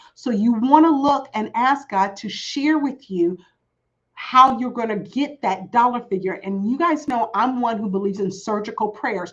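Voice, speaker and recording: A woman speaks in a fairly high pitch at a moderate pace. Her tone is animated, with ordinary pitch variation. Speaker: business coach. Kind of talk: live webinar teaching. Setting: livestream.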